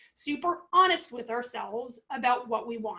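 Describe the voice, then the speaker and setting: A woman talks at a moderate pace in an animated tone, her pitch swinging very widely. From New England. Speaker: food safety consultant and coach. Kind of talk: webinar presentation. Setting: livestream via video call software at home.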